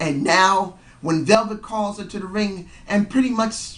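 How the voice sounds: The tone is fairly bright and the pace fairly slow, with ordinary pitch variation and audible room echo.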